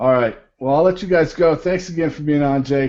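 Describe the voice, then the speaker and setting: Against a quiet background, an ordinary speaking voice moves at a moderate pace with ordinary pitch variation. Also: man. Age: 30s. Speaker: podcast host. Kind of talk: casual chat.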